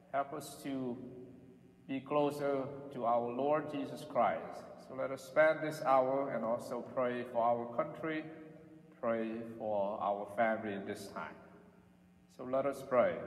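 There is audible room echo as a man speaks at a fairly slow pace with fairly even intonation. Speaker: priest. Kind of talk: prayer and address to the congregation. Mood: solemn, calm. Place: church.

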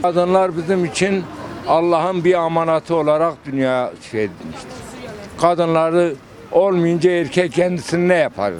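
With a southeastern Turkish accent, a man talks at a moderate pace in a high pitch with ordinary pitch variation over noticeable background noise. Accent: Şanlıurfa dialect. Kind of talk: street interview answer.

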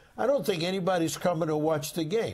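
A man with a New York accent is heard with audible room echo. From New York, Brooklyn. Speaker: sportswriter. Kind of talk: casual chat.

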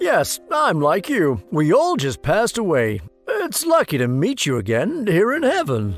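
A cartoonish character voice speaks at a fairly slow pace with very wide pitch swings, faint music playing in the background.

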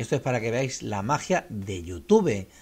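A man speaks with a Castilian accent. His pitch sits in the medium range. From Spain. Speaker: YouTube music channel host. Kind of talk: casual vlog talk to viewers. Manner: hesitant, many fillers and repetitions. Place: home room. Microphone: studio mic.

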